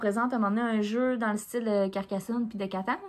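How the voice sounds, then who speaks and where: In a very clean recording with a silent background, a woman with a fairly high pitch speaks at a very fast pace with a strong Quebec accent. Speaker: podcast co-host. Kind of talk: casual chat. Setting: cabin indoors.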